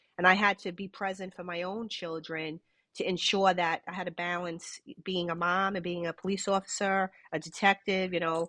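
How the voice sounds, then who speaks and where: A woman with a New York accent, bright and sharp in tone, flat and monotone, in a dry, close sound with no echo against a quiet background. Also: medium pitch for a woman, moderate pace. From New York City, Brooklyn. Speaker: retired police detective. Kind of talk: interview. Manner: halting, many repetitions.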